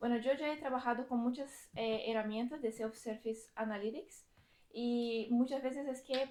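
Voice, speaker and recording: This woman has a high pitch and a dark, mellow tone. Her intonation is fairly even and her pace fairly slow. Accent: Brazilian. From Brazil. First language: Portuguese (speaking Spanish). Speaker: data engineering team lead, conference speaker. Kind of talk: technical talk at meetup. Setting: lecture room with audience. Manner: halting, many fillers and restarts.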